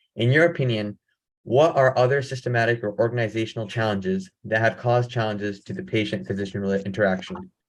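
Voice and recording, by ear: Speaking at a fairly quick pace, a man with a fairly low pitch uses ordinary pitch variation.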